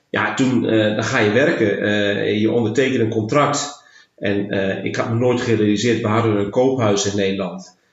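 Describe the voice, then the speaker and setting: A man talks at a moderate pace with fairly low pitch and fairly even intonation. Audible room echo surrounds his voice. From Netherlands, Twente (Enschede area). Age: 50s. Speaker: leisure park general manager. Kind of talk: bilingual interview, casual. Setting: in person. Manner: halting, many hesitations.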